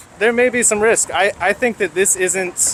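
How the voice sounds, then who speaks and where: At a moderate pace, a man talks while noticeable background noise carries on. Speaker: protester. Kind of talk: street interview. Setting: outdoors at a protest. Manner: articulate, measured.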